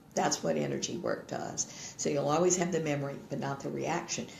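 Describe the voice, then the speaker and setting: The talking keeps a moderate pace. Behind it, noticeable background noise is present. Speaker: energy healer, radio show co-host. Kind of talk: casual chat. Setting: live internet radio and video stream.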